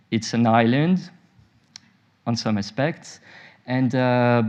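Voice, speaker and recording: A man speaks with a French-Swiss accent and fairly even intonation. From French-speaking Switzerland. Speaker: nuclear medicine physician. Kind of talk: conference talk. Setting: conference session with audience. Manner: hesitant, many fillers.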